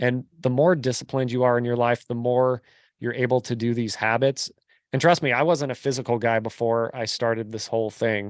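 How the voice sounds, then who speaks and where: The very clean recording with a silent background captures a man with an American accent and an unremarkable speaking voice, talking at a fairly quick pace with medium pitch and fairly even intonation. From California, Bay Area. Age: 40s. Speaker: real estate investor. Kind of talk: podcast interview.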